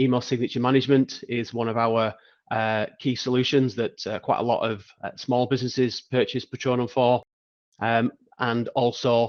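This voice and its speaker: A man at a moderate pace, monotone and flat in intonation, in a dry, close sound with no echo. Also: medium pitch for a man. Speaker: software company founder. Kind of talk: product demo.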